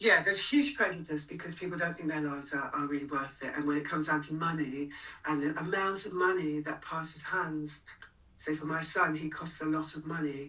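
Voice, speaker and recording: A woman with a London accent speaks at a fairly quick pace in a very deep, low pitch. Her intonation is monotone and flat, and there is noticeable background noise. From London, England. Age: 60s. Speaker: punk singer-songwriter and activist. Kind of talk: interview conversation.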